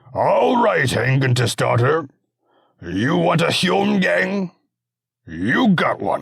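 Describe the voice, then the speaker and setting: Putting on a character voice, a man rasps out his words at a very slow pace and a fairly high pitch, with long, frequent pauses and very even loudness. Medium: read story. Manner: amused and condescending.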